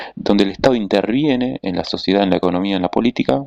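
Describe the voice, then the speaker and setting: A man's fairly low voice with lively intonation, dry and close with no echo. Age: 30s. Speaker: political commentator. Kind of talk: monologue analysis. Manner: hesitant with fillers and self-corrections.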